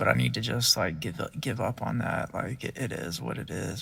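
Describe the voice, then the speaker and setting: Vocal fry runs through this man's speech. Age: 40s. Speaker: vlogger, merchandiser. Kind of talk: casual monologue vlog. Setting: in a parked car. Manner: halting, filler-heavy; slow.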